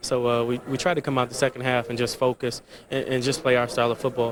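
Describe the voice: A man talks fast at a medium pitch.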